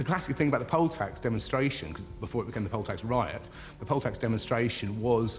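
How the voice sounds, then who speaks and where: With a British accent, a man talks at a fairly quick pace in a medium pitch with lively intonation. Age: 40s. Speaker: former protester. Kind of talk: interview.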